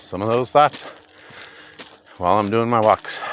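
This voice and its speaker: A man with an American accent at a moderate pace, fairly even intonation, and noticeable background noise. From Montana. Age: 50s. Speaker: vlogger. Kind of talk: casual monologue while hiking. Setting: outdoors on a trail. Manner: unscripted, rambling.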